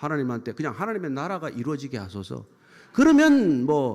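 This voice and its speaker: At a very fast pace, a man speaks in a fairly high pitch with very wide pitch swings. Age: 70s. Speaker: pastor. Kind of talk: sermon. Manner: animated.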